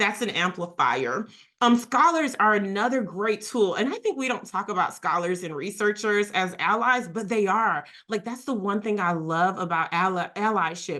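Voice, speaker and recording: With a plain, everyday voice, a woman speaks at a medium pitch and moderate pace using lively intonation. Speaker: workshop facilitator on equity and inclusion. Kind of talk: webinar presentation.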